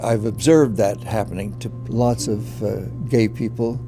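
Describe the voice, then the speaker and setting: Music plays in the background while a man with an American accent talks. His pitch is medium, his intonation fairly even, and his pace moderate. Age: old. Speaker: former congressional candidate. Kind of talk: documentary interview answer. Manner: hesitant, halting.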